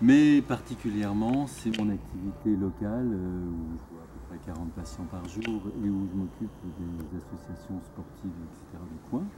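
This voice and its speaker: Very deep and low, a man's voice carries lively intonation at a moderate pace. His loudness swings widely. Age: 60s. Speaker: doctor. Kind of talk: interview. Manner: hesitant, many fillers.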